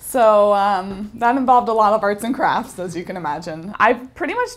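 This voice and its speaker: This woman has an unremarkable speaking voice, pitched in the medium range. Her pace is moderate, and her pitch varies in an ordinary way. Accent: General American. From Northern California. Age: 20s. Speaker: actor auditioning as host. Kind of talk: audition self-introduction.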